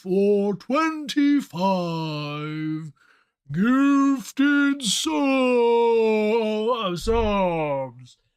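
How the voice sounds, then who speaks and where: A put-on character voice at a fairly high pitch, spoken very slowly on a very clean recording with a silent background. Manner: whale-like, drawn out.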